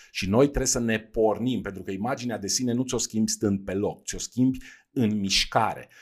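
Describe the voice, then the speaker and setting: Speaking at a moderate pace, the man has a medium pitch and fairly even intonation. The recording is very clean and the background silent. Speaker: podcast host, leadership coach. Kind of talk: solo podcast talk on personal development. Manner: hesitant, with fillers and repetitions.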